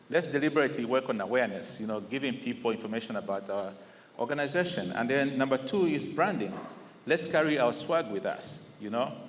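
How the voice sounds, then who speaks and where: With a Zambian accent, a man of medium pitch speaks at a fairly quick pace with lively intonation. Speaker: incoming district governor of a service club. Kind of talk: installation speech. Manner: conversational, with fillers.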